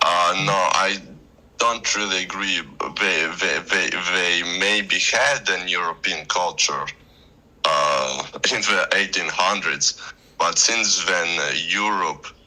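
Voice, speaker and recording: A very slow-speaking man over noticeable background noise. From Moldova. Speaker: debater. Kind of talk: casual debate. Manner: halting, many fillers and restarts.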